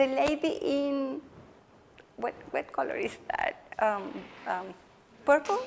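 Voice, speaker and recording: Over noticeable background noise, a woman with a Spanish accent speaks very slowly in a high voice. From Chile. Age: 40s. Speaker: education researcher and lecturer. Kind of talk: lecture Q&A discussion. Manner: animated.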